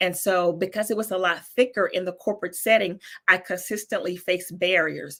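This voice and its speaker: A woman's medium-pitched voice with a Southern US accent at a fairly quick pace, on a very clean recording with a silent background. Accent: Southern US accent, less thick than before. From North Carolina, US South. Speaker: business coach. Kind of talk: interview. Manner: animated.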